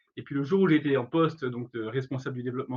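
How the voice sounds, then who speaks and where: Somewhat breathy, this voice rises and falls in pitch in an ordinary way. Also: man. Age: 40s. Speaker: career education trainer, startup founder. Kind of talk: webinar presentation. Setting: online webinar. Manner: hesitant, many fillers.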